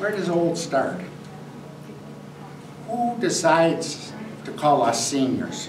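The voice is a man's. Noticeable background noise is present. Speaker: guest. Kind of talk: talk to seniors' group. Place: hall.

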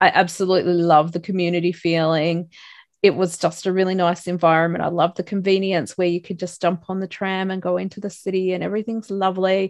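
Over a quiet background, a woman with an Australian accent talks at a very fast pace in a medium pitch, her intonation monotone and flat, with a dry sound and no echo. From Australia, Broken Hill, far western New South Wales; New South Wales. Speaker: life coach and motivational speaker; life coach, motivational speaker. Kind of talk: casual interview. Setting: remote call from Australia at night. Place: home room. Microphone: video call.

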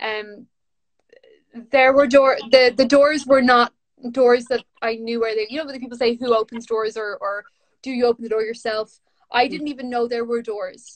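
This woman has a high pitch and a monotone, flat intonation, speaking at a moderate pace with a Dublin accent. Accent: Dublin Irish. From Ireland, north Dublin. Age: 30s. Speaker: author and poet. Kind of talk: casual chat. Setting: video call from home during lockdown. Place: home room. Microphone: video call.

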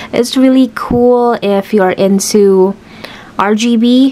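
Ordinary pitch variation from a woman's voice. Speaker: product reviewer. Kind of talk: product demo tutorial. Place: home room.

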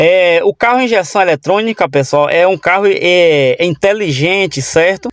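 A high-pitched man's voice, dry with no echo, over a quiet background. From Brazil. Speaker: car channel youtuber; car tutorial host. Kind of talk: tutorial. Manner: halting, many filler sounds. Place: car. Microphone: phone near.

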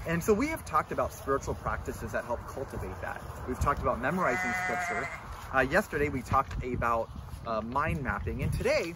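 A man talking at a very fast pace, dry with no echo, amid loud background noise. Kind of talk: devotional talk. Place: open country. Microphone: camera far.

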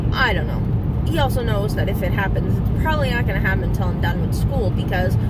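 Loud background noise surrounds a woman's voice. The sound itself is dry with no echo. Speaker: vlogger. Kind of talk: casual vlog chat. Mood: reflective, candid. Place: car. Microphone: phone near.

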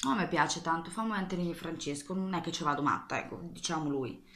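Speaking at a fairly quick pace, a woman talks. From Marche, Italy (Ancona); Marche, Italy. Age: 20s. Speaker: YouTuber, nail art and makeup creator; vlogger. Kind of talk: casual Q&A vlog. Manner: rambling, hesitant with fillers. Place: bathroom. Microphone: webcam.

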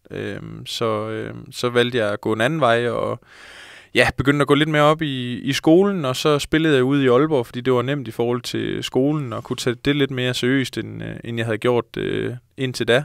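The speaker keeps a moderate pace and fairly even intonation. The sound is dry with no echo, over a quiet background. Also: man, medium pitch for a man. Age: 20s. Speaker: professional footballer; guest. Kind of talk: casual interview. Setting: studio. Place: studio. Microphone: handheld.

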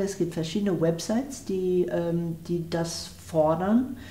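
A woman speaks at a very slow pace with ordinary pitch variation. Audible echo from the room surrounds her voice. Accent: English. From USA. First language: English (speaking German). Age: 60s. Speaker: philosopher; interviewee. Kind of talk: interview; interview answer. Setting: at her home. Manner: hesitant, many fillers.

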